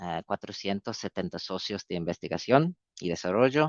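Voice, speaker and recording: Someone with a non-native accent speaks at a fairly slow pace. The background is quiet, and the sound is dry and close, with no echo. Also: man. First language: not Spanish (speaking Spanish). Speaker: public health organisation representative. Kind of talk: webinar presentation. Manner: halting, many fillers.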